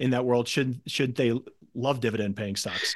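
A man with a plain, everyday voice speaks at a medium pitch with fairly even intonation over a quiet background. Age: 50s. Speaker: podcast host, equity investor. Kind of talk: interview.

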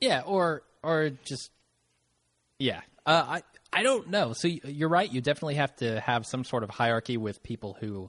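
In an unremarkable speaking voice, a man talks at a fairly high pitch with lively intonation. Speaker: guest co-host. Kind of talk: casual banter podcast.

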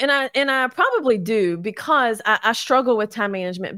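A woman with an American accent talks at a moderate pace in a high pitch with ordinary pitch variation. The sound is dry and close, with no echo. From Kentucky, Louisville. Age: 40s. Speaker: real estate agent and short-term rental host. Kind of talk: podcast interview.

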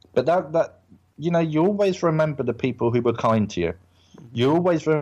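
A man talks in an English accent. His pitch swings very widely. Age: 30s. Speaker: actor. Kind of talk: casual chat.

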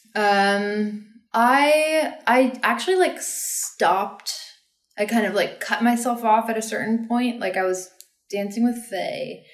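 A woman with an American accent speaks very slowly at a fairly high pitch, with audible room echo. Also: ordinary pitch variation. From Texas (Austin). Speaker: dancer and choreographer. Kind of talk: casual chat.

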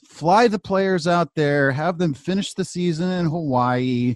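A man with an unremarkable speaking voice, an American accent, a fairly high pitch and lively intonation. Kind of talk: casual chat. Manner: opinionated, casual.

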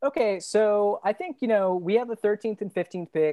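Over a quiet background, a woman with a dark, mellow tone speaks with ordinary pitch variation in a dry, close sound with no echo. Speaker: guest podcaster, basketball analyst. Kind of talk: casual sports debate.

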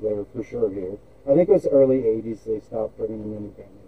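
The voice belongs to a man and sounds somewhat breathy. His intonation stays fairly even. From Scotland. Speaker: car builder. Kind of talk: casual chat. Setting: video call.

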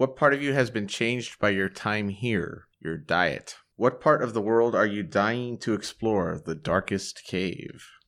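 An ordinary speaking voice from a man, fairly low in pitch with ordinary pitch variation, at a fairly slow pace with hardly any pauses, on a very clean recording with a silent background. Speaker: tabletop game designer and player. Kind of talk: tabletop role-playing game session. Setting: at a gaming convention.

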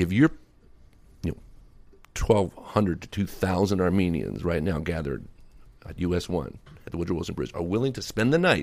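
A man with a very deep, low voice, an American accent, ordinary pitch variation and a fairly quick pace. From Virginia, US. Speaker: Armenian advocacy group leader. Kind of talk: interview.

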